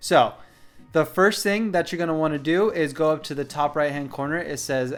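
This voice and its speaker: Faint music plays behind a man speaking at a moderate pace, his fairly high pitch showing ordinary variation. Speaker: photography YouTuber. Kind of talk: tutorial. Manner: casual, many fillers. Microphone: studio mic.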